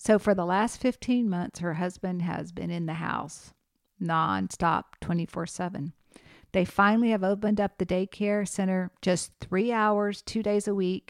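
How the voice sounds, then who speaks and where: A woman with a plain, everyday voice speaks at a medium pitch and a fairly slow pace, with fairly even intonation. The very clean recording has a silent background and a dry, close sound with no echo. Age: 50s. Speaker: podcast host and geriatric nurse. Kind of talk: educational solo podcast.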